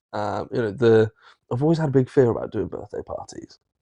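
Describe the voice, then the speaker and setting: Here a man speaks with a southern English accent at a fairly quick pace. The sound is dry and close, with no echo. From southern England, Marlborough, Wiltshire. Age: 30s. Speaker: social media content creator. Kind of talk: casual chat.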